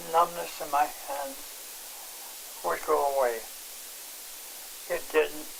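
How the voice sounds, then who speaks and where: A man talks with long, frequent pauses. Noticeable background noise runs underneath. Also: ordinary pitch variation. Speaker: patient giving testimonial. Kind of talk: interview testimony. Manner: halting.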